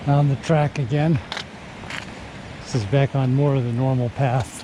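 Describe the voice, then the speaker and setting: A man's medium-pitched voice at a fairly slow pace, with fairly even intonation and noticeable background noise. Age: 60s. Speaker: hiker and video creator, recently retired. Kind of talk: casual talk to camera while hiking. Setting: outdoors on a trail.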